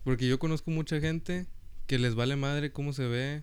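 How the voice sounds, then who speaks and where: Someone speaks in a plain, everyday voice at a moderate pace. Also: man. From US South, Rio Grande Valley, Texas. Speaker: podcast co-host, university student. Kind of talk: casual chat.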